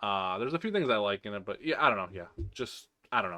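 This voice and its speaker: Very fast speech from a man with a bright, sharp tone on a very clean recording with a silent background. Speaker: movie reviewer. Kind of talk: casual ranking commentary. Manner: hesitant, many fillers.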